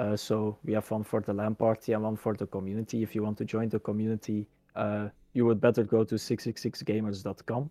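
In a Dutch accent, a man speaks with a dark, mellow tone in a dry, close sound with no echo. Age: 20s. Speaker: gaming community organizer and engineering student. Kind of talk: casual interview. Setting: video call.

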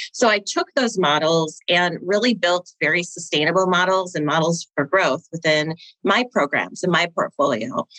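A woman with an American accent uses a normal speaking voice at a fairly low pitch, talking at a moderate pace with hardly any pauses and lively intonation in a dry, close sound with no echo. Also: very even loudness. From Minnesota. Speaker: nonprofit CFO turned finance consultant. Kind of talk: interview.

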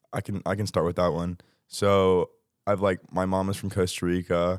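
In an American accent, a man with a very deep, low pitch talks at a fairly quick pace in a monotone, flat way, on a very clean recording with a silent background and a dry, close sound with no echo. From Texas. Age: 20s. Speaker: exchange student. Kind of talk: casual chat.

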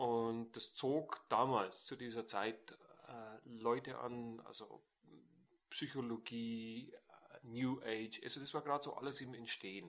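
Speaking very slowly at a medium pitch, the man leaves long, frequent pauses. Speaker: NLP trainer. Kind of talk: casual interview. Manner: animated.

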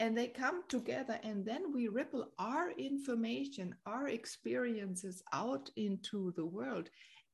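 Speaking fairly slowly with hardly any pauses, a woman with a fairly high pitch swings very widely in tone, adding vocal fry while her loudness stays very even. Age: 50s. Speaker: podcast host and spiritual guide. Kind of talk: casual interview chat. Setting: remote call.

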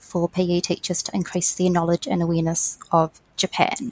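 Her voice is fairly low in pitch, with a New Zealand accent, and the sound is dry and close with no echo. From New Zealand (Waiuku). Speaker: education program coordinator. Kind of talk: interview.

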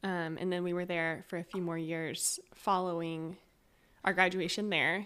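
A woman with a West Coast US accent talks at a moderate pace in a fairly low voice. The recording is very clean, with a silent background. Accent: American (West Coast). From Northern California (Eureka). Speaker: church leadership council member, reading specialist. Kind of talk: casual interview chat.

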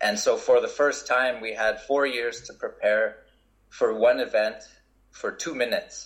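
With a Canadian accent, a man speaks at a fairly slow pace. His loudness swings widely. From Canada. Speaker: Olympic snowboarder. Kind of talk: interview.

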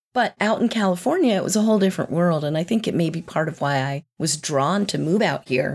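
A woman's normal speaking voice with an American accent, fairly low in pitch, with ordinary pitch variation, a fairly quick pace, and a dry, close sound with no echo. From US South, North Carolina. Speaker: executive coach. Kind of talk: interview.

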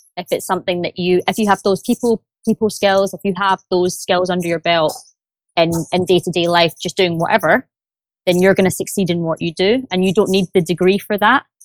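Speaking at a fairly quick pace in a Glaswegian accent, a woman at medium pitch sounds dry and close with no echo. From Scotland, Glasgow. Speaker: sales development rep. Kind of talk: interview. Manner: enthusiastic.

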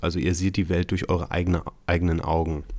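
A man speaks at a very deep, low pitch. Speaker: NLP trainer and podcast host. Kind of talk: solo podcast monologue. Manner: hesitant fillers.

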